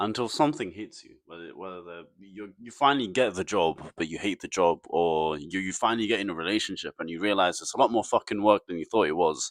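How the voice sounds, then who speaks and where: Lively, fairly quick speech from a man, dry and close with no echo, on a very clean recording with a silent background. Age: 20s. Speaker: vlogger. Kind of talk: casual monologue. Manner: halting, repeats words.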